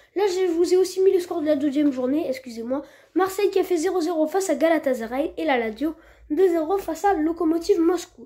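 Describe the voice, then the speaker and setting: A woman speaks at a moderate pace with an extremely high pitch, ordinary pitch variation, and a dark, mellow tone. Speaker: football news youtuber. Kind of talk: scripted news roundup voiceover. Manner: halting, many fillers.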